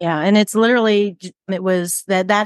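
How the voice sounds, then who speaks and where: A woman with an American accent speaks at a moderate pace in a plain, everyday voice, her pitch medium and her intonation fairly even. The sound is dry and close with no echo, over a quiet background. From US Midwest, Cleveland, Ohio. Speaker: business coach. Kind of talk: interview conversation.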